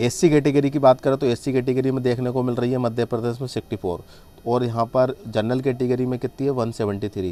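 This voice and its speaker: Music plays behind a man speaking with fairly even intonation. He barely pauses at all. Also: medium pitch for a man, moderate pace. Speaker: online tutor for job exams. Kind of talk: tutorial.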